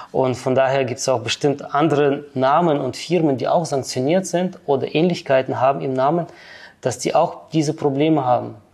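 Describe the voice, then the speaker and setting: The background is quiet as a man speaks with a slight non-native accent. His intonation stays fairly even. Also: fairly high pitch for a man, moderate pace. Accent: slight foreign. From Kyrgyzstan, then Germany. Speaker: finance professional. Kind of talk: interview.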